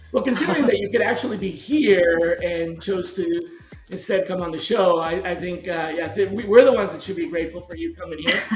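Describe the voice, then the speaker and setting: A man speaks at a high pitch with big swings in loudness, with music in the background and audible room echo. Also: ordinary pitch variation, fairly quick pace. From Colombia, Barranquilla (coastal). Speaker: podcast host, recruiting/sourcing expert. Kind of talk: casual interview chat.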